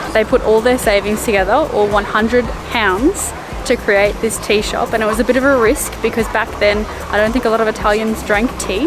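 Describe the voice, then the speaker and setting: Amid music in the background and audible room echo, a woman with an Australian accent talks at a fairly quick pace, her fairly high voice showing ordinary pitch variation. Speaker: travel vlogger. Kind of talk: travel vlog narration. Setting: outdoors. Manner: casual.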